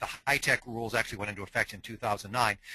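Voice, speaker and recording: A man talks with an American accent. His tone is bright and sharp. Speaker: dentist and lecturer on dental technology. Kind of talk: webinar lecture. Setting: online webinar. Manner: fast.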